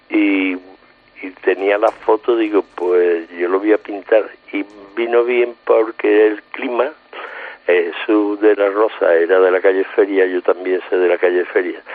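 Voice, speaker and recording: A man's fairly slow delivery comes through noticeable background noise. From Seville, Andalusia. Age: 70s. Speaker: painter and album cover artist. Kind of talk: casual interview. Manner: halting, repeats words.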